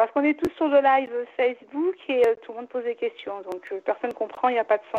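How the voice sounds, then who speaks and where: Her pitch high, a woman talks at a fairly quick pace with hardly any pauses, big swings in loudness and ordinary pitch variation. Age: 40s. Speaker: caller. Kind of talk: phone consultation.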